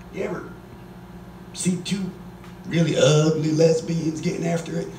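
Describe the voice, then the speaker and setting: A man's voice carries audible room echo. Light background noise is present. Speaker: stand-up comedian. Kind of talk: stand-up comedy routine. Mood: crude joking. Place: bar. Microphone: camera far.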